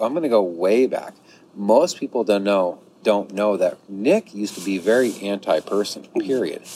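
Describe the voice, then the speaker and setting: At a moderate pace, a man with a plain, everyday voice speaks in a fairly low register whose pitch varies in an ordinary way. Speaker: hiker. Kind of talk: casual chat. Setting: on location.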